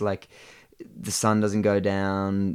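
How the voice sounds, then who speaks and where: A man speaks with an Australian accent at a fairly low pitch. The recording is very clean, with a silent background. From Australia, Blue Mountains NSW. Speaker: rock climber. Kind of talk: casual chat.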